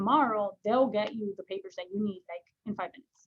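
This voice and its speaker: A somewhat breathy female voice with ordinary pitch variation. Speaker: real estate agent trainer. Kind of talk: training session. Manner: fast; casual, lots of fillers.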